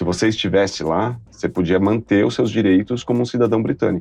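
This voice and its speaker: Music plays in the background as a man speaks fairly quickly with ordinary pitch variation. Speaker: actor and TV presenter. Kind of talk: interview. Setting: studio. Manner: animated.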